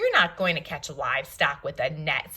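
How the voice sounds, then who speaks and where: A woman's put-on character voice, fairly low in pitch, at a moderate pace. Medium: read story. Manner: folksy.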